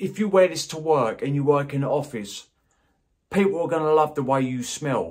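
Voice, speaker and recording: This man's voice is somewhat breathy, with a fairly high pitch and ordinary pitch variation. He talks at a moderate pace. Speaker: fragrance reviewer. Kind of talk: product review. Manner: stutters, gets tongue-tied; casual, enthusiastic.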